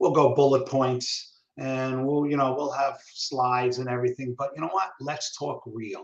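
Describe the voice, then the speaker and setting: A New York accent with hardly any pauses. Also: man, medium pitch for a man, fairly even intonation, moderate pace. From New York City, Brooklyn. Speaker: communication trainer. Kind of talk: interview. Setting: live video stream. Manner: casual, halting with many fillers.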